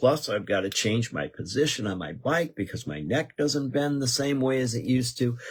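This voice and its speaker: A man talks at a medium pitch with lively intonation and a somewhat breathy quality. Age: 70s. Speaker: radio host. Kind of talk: casual radio talk show monologue. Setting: radio studio. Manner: conversational, with fillers and restarts.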